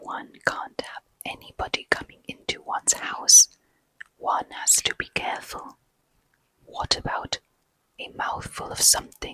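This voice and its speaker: Whispering at a fairly slow pace, the voice leaves long, frequent pauses. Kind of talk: ASMR bedtime story reading. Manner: whispered, soft-spoken.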